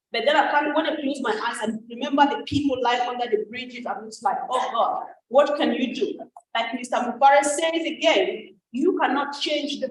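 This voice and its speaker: Ordinary pitch variation with audible room echo. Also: woman. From Africa. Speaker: network marketing ambassador. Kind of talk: testimony. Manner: animated.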